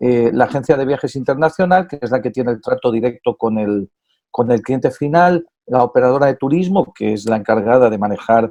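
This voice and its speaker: With a Spanish accent, a man talks at a fairly quick pace in a dark, mellow tone at medium pitch, with ordinary pitch variation and a dry, close sound with no echo. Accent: Spanish (Spain). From Spain. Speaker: tourism business association president. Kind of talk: interview. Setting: at home.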